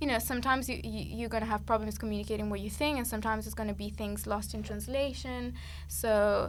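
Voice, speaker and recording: Audible room echo surrounds the voice. A woman speaks with an Italian accent. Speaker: musician. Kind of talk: podcast interview. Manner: halting.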